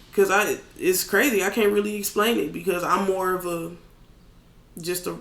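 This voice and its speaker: A man with a high, bright, sharp voice speaks at a moderate pace in a raised, projected voice with lively intonation. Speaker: rapper. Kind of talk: casual chat.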